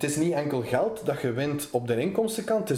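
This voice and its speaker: A man talks at a fairly quick pace in a normal speaking voice, pitched fairly high. His intonation is lively. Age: 20s. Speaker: magazine editor-in-chief. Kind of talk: interview.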